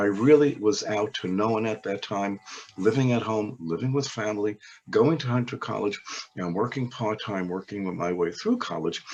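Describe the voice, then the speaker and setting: With an American accent, a man speaks at a fairly low pitch and a moderate pace, showing ordinary pitch variation against noticeable background noise. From New York, Brooklyn (Crown Heights). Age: 70s. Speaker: oral history interviewee. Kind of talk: interview. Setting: webinar.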